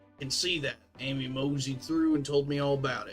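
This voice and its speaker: Using a put-on character voice, a man speaks fairly quickly at a fairly high pitch in a flat monotone while faint music plays in the background. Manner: playful, staying in character.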